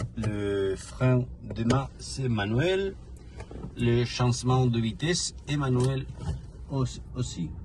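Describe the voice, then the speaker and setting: This man has a Spanish accent. He talks at a very slow pace. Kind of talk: casual car presentation while driving. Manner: hesitant, searching for words.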